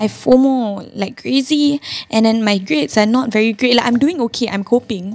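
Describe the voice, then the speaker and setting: Ordinary pitch variation marks this woman's fairly high voice. She speaks with a Singaporean accent. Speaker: podcast co-host. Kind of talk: casual chat.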